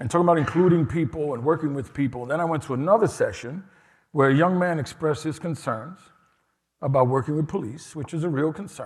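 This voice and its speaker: Somewhat breathy, a man with a New York accent speaks with ordinary pitch variation. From New York City, Lower East Side. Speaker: harm reduction nonprofit director, keynote speaker. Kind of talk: keynote speech. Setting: conference stage with audience.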